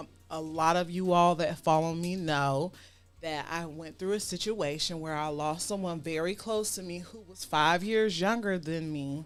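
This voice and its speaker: A woman with a fairly low pitch speaks at a moderate pace, her intonation fairly even but her loudness swinging widely. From US South, Savannah, Georgia. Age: 40s. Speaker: talk show host. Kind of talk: casual chat.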